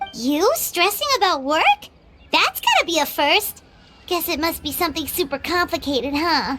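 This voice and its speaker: A cartoonish character voice moves at a moderate pace over faint background music. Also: woman, extremely high pitch for a woman. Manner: bright, lively.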